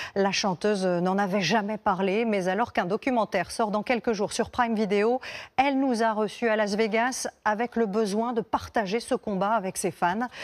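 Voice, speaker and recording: This woman has an ordinary speaking voice, pitched fairly high, at a moderate pace with fairly even intonation. Her loudness stays very even on a very clean recording with a silent background. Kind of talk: TV news anchor intro.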